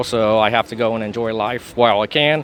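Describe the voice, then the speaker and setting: This man has an unremarkable speaking voice pitched at a medium level. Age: 40s. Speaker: traveler. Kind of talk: casual interview.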